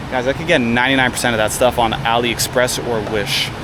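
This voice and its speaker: A man with a Canadian accent talks at a very fast pace, his pitch medium. Noticeable background noise runs underneath. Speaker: travel vlogger. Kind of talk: travel vlog narration. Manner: casual, conversational.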